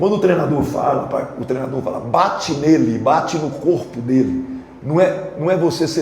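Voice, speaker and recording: An animated man at a moderate pace and fairly high pitch, with audible room echo and noticeable background noise. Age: 60s. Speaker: football coach. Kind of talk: press conference.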